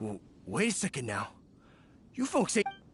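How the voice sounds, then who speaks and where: A put-on character voice, drawling at a moderate pace in a middle pitch. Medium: video game. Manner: drawling, rustic grammar.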